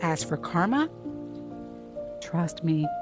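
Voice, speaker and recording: Soft-spoken and gentle in tone, the speaker talks at a very slow pace with music in the background. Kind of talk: guided healing meditation voiceover. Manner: gentle, soft, calming.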